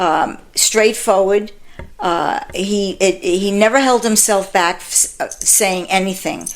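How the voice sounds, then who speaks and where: A woman with a New York accent speaks at a very slow pace. Her intonation stays fairly even over noticeable background noise. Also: medium pitch for a woman. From Bronx, New York. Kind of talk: interview answer.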